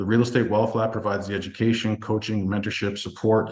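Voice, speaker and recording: The background is quiet. A man talks at a fairly low pitch. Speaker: real estate investing coach presenting a webinar. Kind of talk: webinar product presentation. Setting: online group call. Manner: fast.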